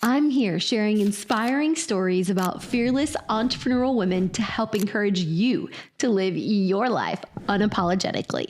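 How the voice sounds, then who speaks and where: An unremarkable speaking voice from a woman, fairly high in pitch, with lively intonation, very even loudness and a moderate pace. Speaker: podcast host. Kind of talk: podcast intro.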